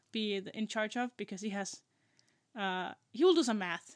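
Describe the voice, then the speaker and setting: Against a quiet background, someone with a non-native accent speaks at a fairly slow pace. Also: woman. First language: not English. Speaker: podcast co-host. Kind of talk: casual chat. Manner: halting.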